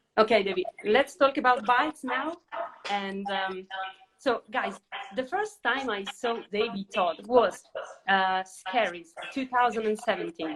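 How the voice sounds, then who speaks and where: In an Italian accent, the speaker goes at a fairly slow pace with lively intonation. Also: woman, fairly high pitch for a woman. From Italy. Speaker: interviewer. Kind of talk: casual interview. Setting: social media live video.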